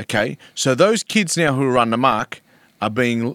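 A man speaks with an Australian accent. The recording is very clean with a silent background, and the sound is dry and close with no echo. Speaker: former rugby league player and mental health advocate. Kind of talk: casual interview conversation. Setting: studio, in person. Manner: articulate, storytelling.

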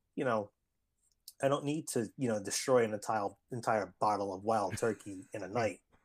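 An unremarkable speaking voice with ordinary pitch variation. The pace is moderate. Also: man, fairly low pitch for a man. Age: 30s. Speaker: elementary school teacher and artist. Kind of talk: casual chat.

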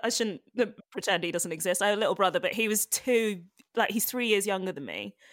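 A woman speaks in a London accent at a fairly high pitch. The recording is very clean, with a silent background. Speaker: comedian. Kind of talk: interview.

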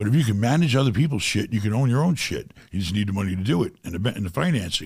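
An animated man with an American accent talks at a very fast pace with very wide pitch swings. His voice is somewhat breathy, in a very clean recording with a silent background. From New York (Rockaway, Queens). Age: 50s. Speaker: real estate investor. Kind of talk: casual interview.

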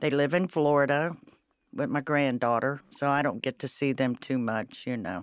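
A woman's very deep, low voice in an Ohio accent, at a moderate pace against a quiet background. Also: ordinary pitch variation. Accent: Midwestern US (Ohio). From Cincinnati, Ohio. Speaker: restaurant server. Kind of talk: casual interview chat.

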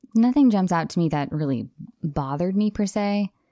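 A woman with a Californian accent, a dark, mellow tone and ordinary pitch variation on a very clean recording with a silent background. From Los Angeles, San Fernando Valley. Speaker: dialect coach. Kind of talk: casual chat.

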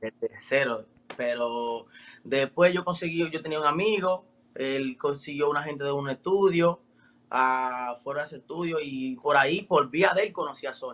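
Speaking at a fairly slow pace with a Dominican accent, a man with a fairly high pitch shows ordinary pitch variation and big swings in loudness. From Dominican Republic. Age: 20s. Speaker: rapper. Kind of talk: interview. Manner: casual.

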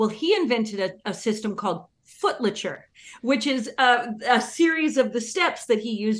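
The speaker has an unremarkable speaking voice and a moderate pace. The intonation is lively over a quiet background. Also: woman. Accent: American. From Northern California. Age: 40s. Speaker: fiddle player. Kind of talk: radio interview.

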